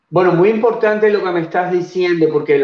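A man speaks with a Cuban accent. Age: 60s. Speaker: nutrition researcher. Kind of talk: interview on a live show. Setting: live stream.

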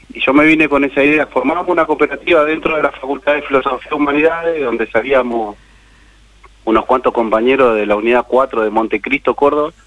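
Over noticeable background noise, a man with a fairly high voice talks at a fairly quick pace and with ordinary pitch variation. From Argentina, Buenos Aires province. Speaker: cooperative worker, former prisoner. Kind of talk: interview.

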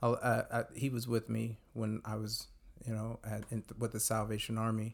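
A man with a Californian accent speaks at a medium pitch. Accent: Californian American. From US West Coast, Modesto, California. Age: 40s. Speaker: youth advocate, former youth pastor. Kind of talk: radio interview.

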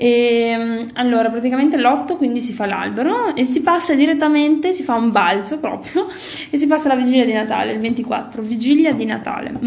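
A woman speaks at a high pitch and a moderate pace, with ordinary pitch variation. The recording has audible room echo and noticeable background noise. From Italy. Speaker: podcast co-host. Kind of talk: casual chat.

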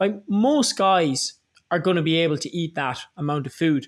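A man with an Irish accent speaks at a high pitch with ordinary pitch variation on a very clean recording with a silent background. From Ireland. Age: 20s. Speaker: online fitness coach. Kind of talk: casual interview chat.

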